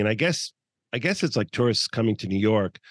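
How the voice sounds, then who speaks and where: A man's unremarkable speaking voice, fairly low in pitch, with fairly even intonation and a dry, close sound with no echo. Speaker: podcast host. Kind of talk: interview. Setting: remote call.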